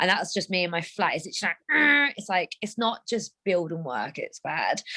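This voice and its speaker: In a London accent, a woman talks at a moderate pace with a medium pitch and a bright, sharp tone. The sound is dry and close, with no echo. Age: 30s. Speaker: co-host of a women's wellbeing group. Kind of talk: casual chat. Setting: video call.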